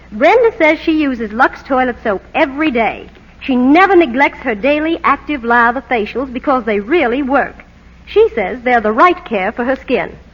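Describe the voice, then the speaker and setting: Noticeable background noise sits behind a woman speaking at a moderate pace in a high pitch with lively intonation. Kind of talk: vintage radio commercial dialogue. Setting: archival old-time radio broadcast recording.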